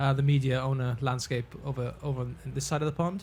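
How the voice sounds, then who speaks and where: A man with a British accent speaks at a moderate pace in a somewhat breathy, fairly high-pitched voice. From United Kingdom. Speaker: ad tech executive. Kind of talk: panel discussion.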